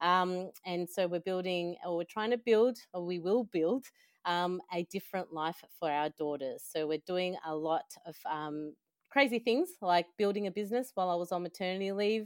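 In an Australian accent, a woman at medium pitch speaks at a moderate pace with ordinary pitch variation, the sound dry and close with no echo. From El Salvador, raised in Australia from young childhood. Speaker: finance industry talent manager. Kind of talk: interview, personal story.

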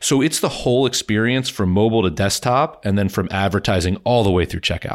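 A man's voice with ordinary pitch variation, very even loudness, and hardly any pauses. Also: very clean recording, silent background. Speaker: growth investor and board member. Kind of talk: interview.

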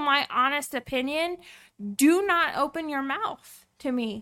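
A woman speaks in a raised, projected voice with a bright, sharp tone. The recording is very clean, with a silent background. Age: 20s. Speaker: podcast host's wife. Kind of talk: casual chat.

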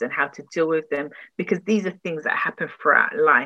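The speaker has a London accent and a bright, sharp tone. Delivery is at a moderate pace with ordinary pitch variation. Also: woman. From London, Tottenham. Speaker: relationship and grief recovery coach. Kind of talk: interview.

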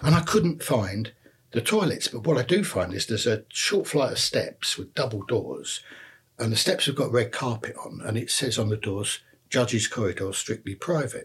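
Speaking with a London accent, a man delivers his words with lively intonation and a somewhat breathy quality. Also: medium pitch for a man, moderate pace. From North London, Enfield. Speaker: retired police detective. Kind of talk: interview. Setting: at the host's home. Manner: halting, repeats words.

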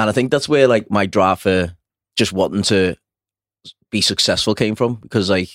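At a moderate pace and a fairly low pitch, a man with a Liverpool accent talks in very even loudness with long, frequent pauses, the sound dry and close with no echo on a very clean recording with a silent background. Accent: Liverpool (Scouse). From Liverpool, England. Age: 30s. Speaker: personal trainer and former firefighter. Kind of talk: casual chat.

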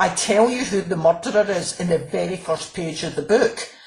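In a Glaswegian accent, a woman speaks at a medium pitch with ordinary pitch variation. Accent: Glaswegian Scottish. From Scotland, Glasgow. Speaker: crime novelist. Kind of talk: interview.

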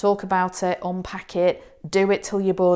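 On a very clean recording with a silent background, a woman with a British accent speaks at a fairly low pitch. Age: 50s. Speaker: psychologist. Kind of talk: advice monologue.

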